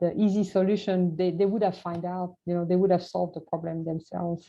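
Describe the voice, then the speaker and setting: Her voice fairly low and her intonation monotone and flat, a woman speaks at a fairly quick pace in a French accent. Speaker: scientist. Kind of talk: Q&A after presentation. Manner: halting.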